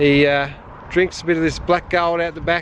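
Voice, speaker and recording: The voice comes with an Australian accent. Noticeable background noise is present. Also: man. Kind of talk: casual talk to camera.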